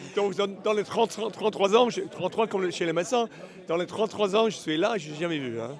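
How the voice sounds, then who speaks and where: A man's high voice at a fairly quick pace, with ordinary pitch variation and noticeable background noise. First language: English (speaking French). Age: 60s. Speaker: horse auctioneer. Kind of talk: interview. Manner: halting, searching for words.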